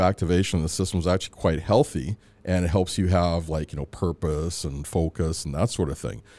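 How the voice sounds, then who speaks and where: In a very clean recording with a silent background, a man with a dark, mellow tone talks at a very fast pace with hardly any pauses. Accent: western Canadian. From Canada, Edmonton, Alberta (born in Antigua, moved at 3-4). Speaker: psychologist. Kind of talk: interview.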